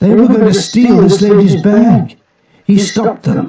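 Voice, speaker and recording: Using a put-on character voice, a man speaks at a high pitch with fairly even intonation and very even loudness. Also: moderate pace. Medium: read story.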